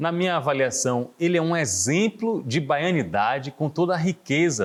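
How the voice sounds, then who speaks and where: With pitch that leaps up and down very widely, a man speaks fairly slowly. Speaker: TV interview host. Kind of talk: TV talk show hosting.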